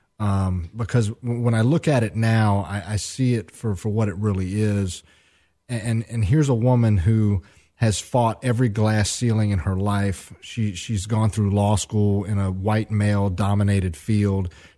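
Fairly slow and fairly low, a man's dark, mellow voice carries a Southern US accent with fairly even intonation on a very clean recording with a silent background. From Atlanta, Georgia. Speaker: recovery advocate and former addict. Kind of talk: interview. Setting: studio. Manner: halting, with fillers and repeats.

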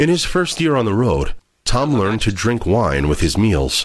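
A man with vocal fry, medium pitch and a moderate pace. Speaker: documentary narrator. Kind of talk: scripted narration.

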